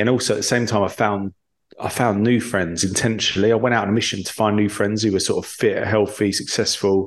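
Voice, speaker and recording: A man with an English accent speaks at a very fast pace in a fairly low pitch. The background is quiet. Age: 30s. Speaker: entrepreneur in recovery from alcohol. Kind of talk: interview.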